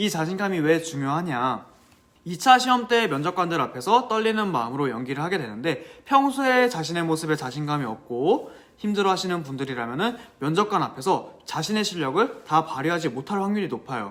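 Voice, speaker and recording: A man talks at a fairly quick pace. His high pitch moves in very wide swings. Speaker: teacher giving exam advice. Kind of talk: vlog-style advice talk. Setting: coffee shop. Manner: stumbling over words, self-described.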